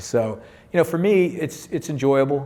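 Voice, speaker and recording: Medium in pitch, a man speaks in an unremarkable speaking voice. His intonation is lively. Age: 60s. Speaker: tech company CEO and software founder. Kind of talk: panel discussion. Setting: stage with audience.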